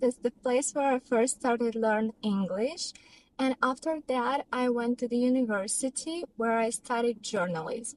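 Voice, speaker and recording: A high-pitched woman with a Russian accent, at a moderate pace with ordinary pitch variation, in a dry, close sound with no echo. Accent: non-native English, Russian. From Russia, Tyumen. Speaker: vlogger and professional dancer. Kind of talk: personal vlog storytelling.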